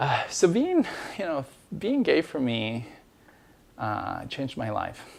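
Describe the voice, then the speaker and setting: A man with an Ecuadorian accent at a moderate pace. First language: Spanish. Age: 30s. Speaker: immigration lawyer telling personal story. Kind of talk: personal testimony. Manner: halting, many fillers.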